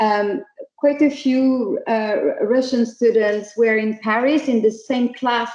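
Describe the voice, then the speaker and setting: Speaking at a fairly slow pace with a slight French accent, a woman has a dark, mellow tone, fairly high pitch and ordinary pitch variation. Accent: French accent, slight, still audible. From France. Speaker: startup CEO. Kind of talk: online talk for students. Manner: hesitant, many fillers.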